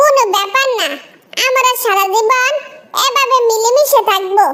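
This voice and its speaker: A woman puts on a cartoonish character voice with extremely high pitch, ordinary pitch variation, and a fairly slow pace. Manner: gentle, affectionate.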